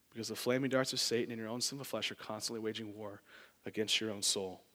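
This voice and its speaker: This man's medium-pitched voice has a bright, sharp tone and a monotone, flat delivery. He talks at a very fast pace on a very clean recording with a silent background. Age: 20s. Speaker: lay preacher, church board member. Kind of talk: sermon.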